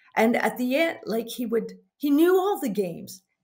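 Over a quiet background, a woman with a high-pitched voice speaks at a moderate pace with very wide pitch swings. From Canada. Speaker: mounted games competitor and referee trainer. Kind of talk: interview. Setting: call. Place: home room.

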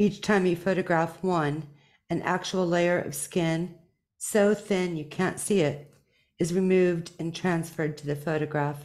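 Against a quiet background, a woman speaks at a fairly slow pace with a fairly low pitch. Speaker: poet. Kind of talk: poetry reading. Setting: video call. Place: home room. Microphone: studio mic.

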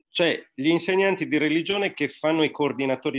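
The man speaks very fast. Pitch variation in his voice is ordinary. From Sardinia. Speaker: religion teacher and secularist activist; interview guest. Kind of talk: online talk. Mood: critical, explanatory. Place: home room. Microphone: webcam.

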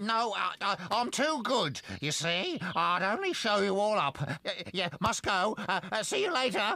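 A man puts on a cartoonish character voice pitched high. He speaks at a fairly slow pace. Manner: cheeky, boastful, wheedling.

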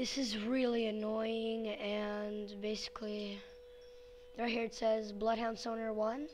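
Very slow speech over noticeable background noise. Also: woman. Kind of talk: casual screen-recording help request.

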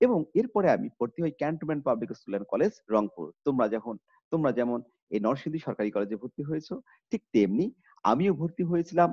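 A man's fairly high voice with very wide pitch swings, dry with no echo, against a quiet background. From northern Bangladesh, Kurigram; northern Bangladesh. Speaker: college teacher. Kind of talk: online lecture. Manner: formal. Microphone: webcam.

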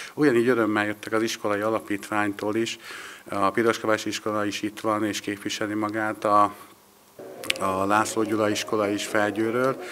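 A man talks at a fairly quick pace with a fairly low pitch and monotone, flat intonation, with light background noise behind him. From Hungary. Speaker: local association organiser. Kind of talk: on-location interview. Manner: halting, repetitive. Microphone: handheld.

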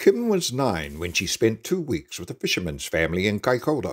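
Vocal fry colors a voice that moves at a moderate pace with very wide pitch swings. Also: man. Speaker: narrator. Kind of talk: animated story narration.

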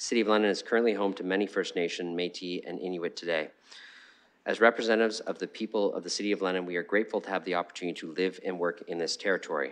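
A man with a very deep, low pitch talks at a very fast pace, his intonation fairly even. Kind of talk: formal meeting chairing. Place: hall.

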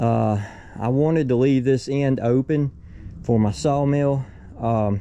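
A man speaks slowly at a medium pitch, with a dark, mellow tone and ordinary pitch variation.

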